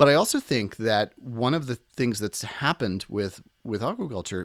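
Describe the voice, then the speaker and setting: A man with an American accent has a plain, everyday voice, with lively intonation at a moderate pace. The recording is very clean, with a silent background. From Washington, D.C. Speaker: chef and author. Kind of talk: casual interview.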